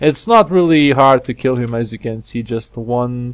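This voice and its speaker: A man's voice at medium pitch. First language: not English. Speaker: gaming video creator. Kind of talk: gameplay commentary. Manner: halting.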